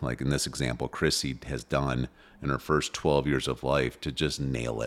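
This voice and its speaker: A man speaks in a very deep, low voice with vocal fry. His pace is moderate and his intonation fairly even. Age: 40s. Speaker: parenting podcast host. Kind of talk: casual chat.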